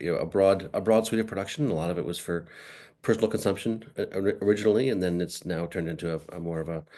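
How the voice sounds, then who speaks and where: A man's very deep, low voice with an American accent, over a quiet background. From Massachusetts, US. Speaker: nonprofit founder and farmer. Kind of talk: lecture. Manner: fast; halting, many fillers.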